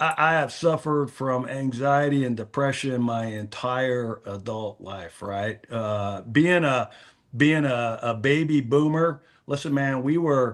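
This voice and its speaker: A man's ordinary speaking voice at a medium pitch, fairly slow in pace, with ordinary pitch variation. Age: 60s. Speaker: fantasy football content creator. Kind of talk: casual chat.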